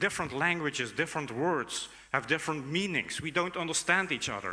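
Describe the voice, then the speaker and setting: A man with a Dutch accent and a bright, sharp tone, fairly high in pitch with ordinary pitch variation, at a fairly quick pace. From Netherlands. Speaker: conference speaker, academic. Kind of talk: conference keynote talk. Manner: hesitant, many fillers.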